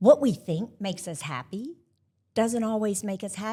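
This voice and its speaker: A woman's somewhat breathy voice at a fairly slow pace, on a very clean recording with a silent background. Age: 60s. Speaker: podcast co-host. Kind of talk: live panel conversation. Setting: stage with live audience.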